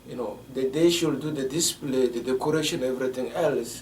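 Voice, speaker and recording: In a West African French accent, a man talks at a moderate pace and medium pitch, with audible room echo and noticeable background noise. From Togo, West Africa. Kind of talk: interview. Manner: halting, many fillers.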